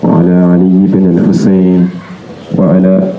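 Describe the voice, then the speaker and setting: Very deep and low in pitch, a man speaks at a fairly slow pace. The recording has audible room echo and light background noise. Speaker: speaker. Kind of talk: religious address and supplication. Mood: solemn, devotional. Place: street. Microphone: handheld.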